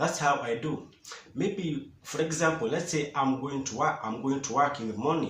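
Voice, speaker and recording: A speaker with a Kenyan accent and ordinary pitch variation, amid noticeable background noise. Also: man. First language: Swahili and Kikuyu. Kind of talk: casual talk to camera.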